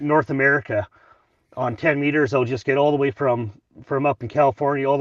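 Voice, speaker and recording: This man has a Canadian accent and a medium pitch, talking at a fairly quick pace. The sound is dry and close with no echo, over a quiet background. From Canadian Prairies, northern Saskatchewan. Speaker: amateur radio operator. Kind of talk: casual chat. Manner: halting, many repetitions.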